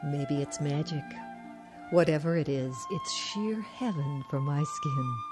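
Soft-spoken and very slow, a woman speaks in a very deep, low pitch with lively intonation while music plays clearly in the background. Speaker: voice actor. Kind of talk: TV commercial read. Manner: soft, sensual. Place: studio. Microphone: studio mic.

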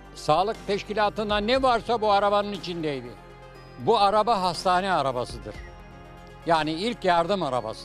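Over faint background music, a man with a high voice talks at a moderate pace, the sound dry with no echo. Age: 80s+. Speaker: retired nurse. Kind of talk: casual interview answer, reminiscing. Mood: warm, nostalgic storytelling. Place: street. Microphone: handheld.

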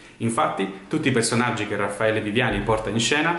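A man talks at a very fast pace in a medium pitch, his intonation lively. Audible room echo surrounds him. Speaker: reader introducing a theatre text. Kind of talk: poetry introduction. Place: home room. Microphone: webcam.

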